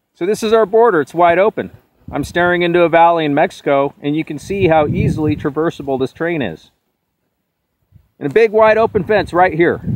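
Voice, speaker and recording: A man shouting loudly at a high pitch, at a fairly quick pace with ordinary pitch variation. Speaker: political video blogger. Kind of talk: on-location vlog rant. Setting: outdoors at the border fence. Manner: loud, yelling.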